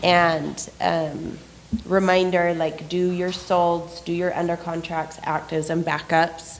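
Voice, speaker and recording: A woman speaks very slowly at a fairly low pitch, in monotone, flat intonation. Audible room echo surrounds her voice. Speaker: real estate team trainer. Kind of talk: training class. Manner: casual, many fillers.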